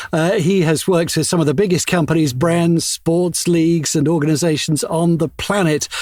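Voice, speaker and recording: A man's high-pitched voice at a moderate pace over noticeable background noise. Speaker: podcast co-host. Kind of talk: podcast interview host.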